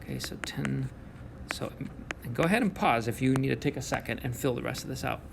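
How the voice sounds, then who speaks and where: This man talks very fast, and noticeable background noise can be heard. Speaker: math teacher. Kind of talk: recorded video lesson. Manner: casual, encouraging.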